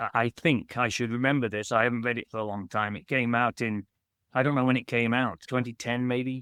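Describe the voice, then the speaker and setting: A man in a British accent, the sound dry and close with no echo. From UK. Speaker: children's author. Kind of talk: podcast interview. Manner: halting, with many restarts.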